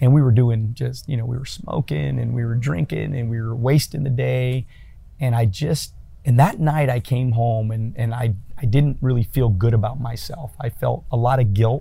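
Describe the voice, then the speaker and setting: A man's somewhat breathy, dark and mellow voice at medium pitch, moving at a moderate pace. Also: ordinary pitch variation. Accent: American. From California. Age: 40s. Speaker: entrepreneur and business coach. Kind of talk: casual interview.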